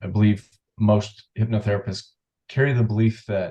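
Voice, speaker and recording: This man's voice is fairly low in pitch and somewhat breathy. His tone is dark and mellow, and his intonation stays flat and monotone. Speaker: hypnotherapist. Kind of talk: interview. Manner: calm, relaxed.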